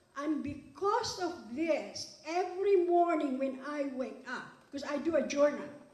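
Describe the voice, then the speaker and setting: A woman speaks with a non-native accent at a fairly slow pace and a high pitch. Audible room echo surrounds her voice. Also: ordinary pitch variation. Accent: foreign. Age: 70s. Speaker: award recipient, businesswoman. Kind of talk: award acceptance speech. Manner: animated.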